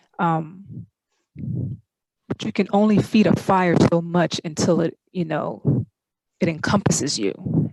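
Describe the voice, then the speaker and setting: A woman speaks very slowly with vocal fry, her pitch fairly low. Long, frequent pauses break up the dry, close sound with no echo. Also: lively intonation. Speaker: group call participant. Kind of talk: casual chat. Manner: halting.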